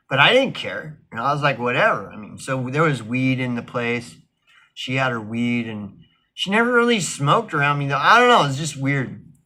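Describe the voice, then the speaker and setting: A man speaks loudly at a moderate pace, his voice fairly high with a bright, sharp tone. His intonation is lively. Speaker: vlogger. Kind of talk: casual monologue. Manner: halting, many fillers and restarts.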